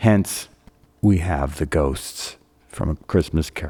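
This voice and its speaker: In a very clean recording with a silent background, a man uses a normal speaking voice at a fairly slow pace with lively intonation. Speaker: radio host. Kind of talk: radio show hosting.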